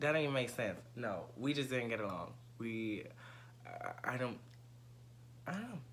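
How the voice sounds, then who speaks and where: Over noticeable background noise and audible room echo, a man of medium pitch talks at a moderate pace with long, frequent pauses. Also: ordinary pitch variation. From New York City (Bronx). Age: 20s. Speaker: presenter auditioning as co-host. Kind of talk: audition video monologue.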